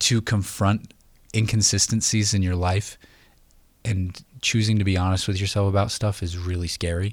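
The man's somewhat breathy voice, fairly low in pitch with fairly even intonation, moves at a moderate pace in a very clean recording with a silent background. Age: 30s. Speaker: writer. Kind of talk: casual chat. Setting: studio.

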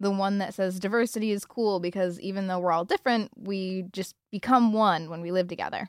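In a plain, everyday voice, a woman talks at a fairly quick pace with hardly any pauses, medium pitch and fairly even intonation, the sound dry and close with no echo on a very clean recording with a silent background. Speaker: student radio host. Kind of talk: scripted narration.

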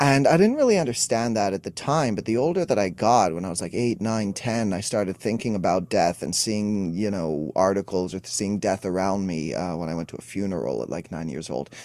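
In a Montreal accent, a man with a fairly low pitch talks fairly quickly with lively intonation and hardly any pauses on a very clean recording with a silent background. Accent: Montreal English (Canadian). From Montreal, Quebec, Canada. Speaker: emotional wellness coach. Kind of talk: interview.

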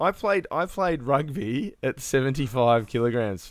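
A man with an unremarkable speaking voice, pitched fairly high, talks at a moderate pace with lively intonation in a very clean recording with a silent background and a dry, close sound with no echo. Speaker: podcast co-host. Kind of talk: casual chat. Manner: profane, laughs often.

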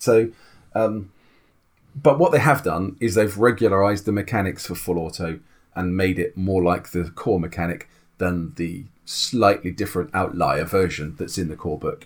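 A man with a British accent, fairly low pitch, ordinary pitch variation and a moderate pace. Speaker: tabletop RPG podcast co-host. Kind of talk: casual chat.

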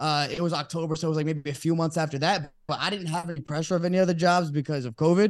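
A fairly high-pitched man with an American accent, very fast and with hardly any pauses, his intonation fairly even. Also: quiet background. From Texas (Dallas), Brazilian family. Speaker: sports podcaster. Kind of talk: casual chat. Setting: studio.

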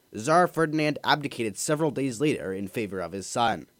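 This man has an unremarkable speaking voice, fairly high in pitch, with lively intonation and a moderate pace on a very clean recording with a silent background. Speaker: history podcast narrator. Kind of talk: scripted history narration, radio segment. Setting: community radio broadcast. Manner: steady, even, formal and clear; brisk, informative, newsreader-like.

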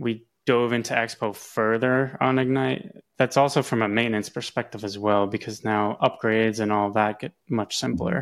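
A man with an unremarkable speaking voice talks fairly slowly at a medium pitch with fairly even intonation. The recording is very clean, with a silent background. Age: 30s. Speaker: software engineer. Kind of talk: interview.

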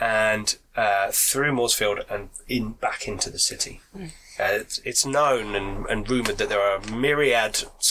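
Someone is reading aloud in a natural voice. The delivery stays in that natural reading manner.

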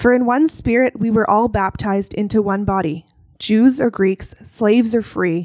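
A woman with an ordinary speaking voice talks at a moderate pace in a fairly high pitch, her pitch varying in an ordinary way, on a very clean recording with a silent background. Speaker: scripture reader. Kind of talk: reading aloud. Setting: church.

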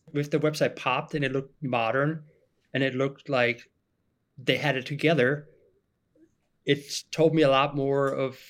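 A man at a fairly high pitch, talking fairly quickly. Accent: German. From Germany. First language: German. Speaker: marketing specialist. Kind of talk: podcast interview.

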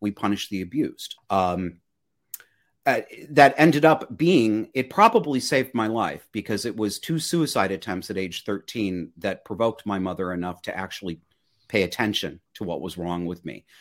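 A man's fairly low voice, an ordinary speaking voice, with lively intonation at a moderate pace, on a very clean recording against a silent background. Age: 40s. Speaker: podcast host and life coach. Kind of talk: interview.

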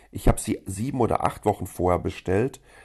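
A man speaks with a fairly low pitch and a dark, mellow tone. His pitch varies in an ordinary way against a quiet background. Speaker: podcast host, German expat in Taiwan. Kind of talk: angry rant about Germany. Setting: recorded on a phone voice recorder, not studio. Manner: indignant, sarcastic, ranting.

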